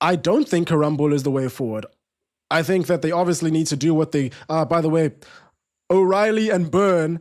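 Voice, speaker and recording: On a very clean recording with a silent background, a man with a South African accent talks at a fairly quick pace in a fairly high pitch with ordinary variation. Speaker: football watch-along streamer. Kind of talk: live watch-along commentary. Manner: casual, conversational; quick reactions to live play.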